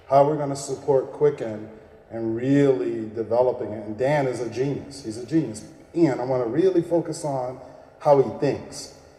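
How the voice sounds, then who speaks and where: A man with a medium pitch speaks at a moderate pace with ordinary pitch variation and big swings in loudness, amid audible room echo and noticeable background noise. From Texas. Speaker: keynote speaker and business coach. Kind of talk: keynote speech. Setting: stage with audience. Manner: animated.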